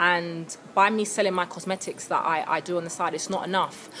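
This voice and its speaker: Noticeable background noise sits behind a woman with a British accent. She speaks at a fairly quick pace in a fairly low pitch. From England, London. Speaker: vlogger. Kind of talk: casual vlog to camera. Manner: animated.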